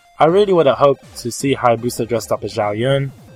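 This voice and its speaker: There is music in the background. A man speaks at a fairly quick pace. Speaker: podcast host. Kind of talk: casual podcast talk.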